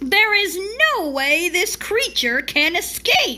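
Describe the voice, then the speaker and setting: Speaking fairly slowly, a woman adopts a put-on character voice. It comes out squeaky and extremely high-pitched. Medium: read story.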